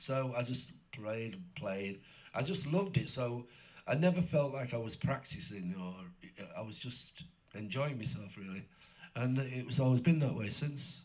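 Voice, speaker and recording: A man at medium pitch speaks somewhat breathily with lively intonation and big swings in loudness, at a moderate pace broken by long, frequent pauses. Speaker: blues guitarist. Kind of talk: interview.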